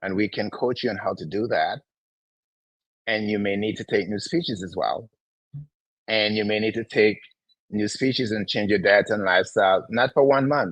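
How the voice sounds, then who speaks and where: Pausing long and often, a man speaks at a moderate pace in a fairly low pitch with ordinary pitch variation. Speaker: natural health company host. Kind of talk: live health Q&A lecture. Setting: livestream. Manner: emphatic, repetitive.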